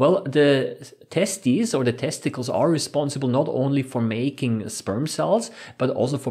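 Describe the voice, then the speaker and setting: A man's pitch varies in an ordinary way, with a quiet background behind him. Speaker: science educator. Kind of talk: lecture.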